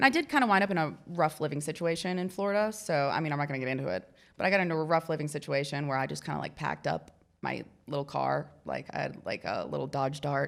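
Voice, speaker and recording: The voice carries vocal fry and lively intonation. It moves at a very fast pace. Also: woman, very deep, low pitch for a woman. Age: 30s. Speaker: mural artist. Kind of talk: casual interview chat. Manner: casual, hesitant with fillers.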